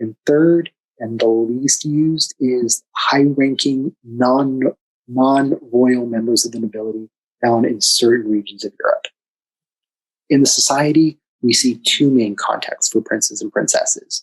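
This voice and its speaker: Soft-spoken and at a medium pitch, a man speaks at a fairly slow pace with fairly even intonation, the sound dry and close with no echo. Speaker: class instructor. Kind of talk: lecture. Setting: video call. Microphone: too quiet.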